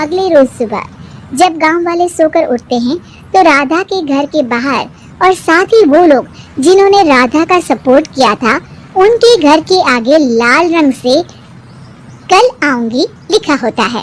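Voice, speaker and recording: A woman does a cartoonish character voice at a high pitch, speaking at a moderate pace with lively intonation. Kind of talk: moral story narration.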